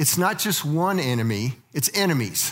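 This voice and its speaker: A man speaks with an American accent. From Colorado (Littleton). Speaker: church teacher, former missionary. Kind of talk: lecture. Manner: halting.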